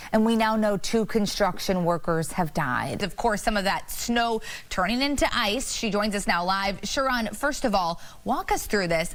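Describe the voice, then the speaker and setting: A woman's unremarkable speaking voice, medium in pitch, at a moderate pace, with lively intonation and very even loudness. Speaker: TV news anchor and reporter. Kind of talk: TV news anchor and field reporter delivery.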